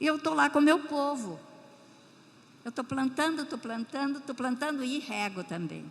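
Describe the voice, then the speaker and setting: Amid noticeable background noise, a woman with a high pitch and warm tone talks at a moderate pace with lively intonation and long, frequent pauses. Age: 80s+. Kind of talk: missionary testimony in church. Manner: warm, emotional, with hesitations.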